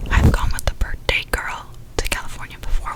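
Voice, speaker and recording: A woman whispers at a fairly quick pace with an American accent amid noticeable background noise. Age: 20s. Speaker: ASMR content creator. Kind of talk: whispered ASMR ramble to camera. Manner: whispered, soft-spoken, casual.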